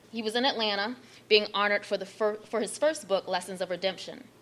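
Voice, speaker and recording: Talking at a very fast pace with an American accent, a woman keeps a medium pitch over noticeable background noise. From Baltimore, Maryland. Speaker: author. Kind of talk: reading aloud a foreword. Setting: library event with audience.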